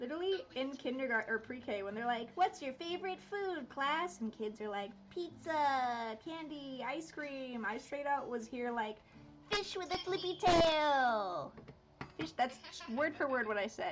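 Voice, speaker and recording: A woman with a high voice speaks at a fairly slow pace, her pitch swinging very widely. Noticeable background noise runs underneath. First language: Dutch. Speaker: art streamer. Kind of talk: casual chat. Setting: live stream.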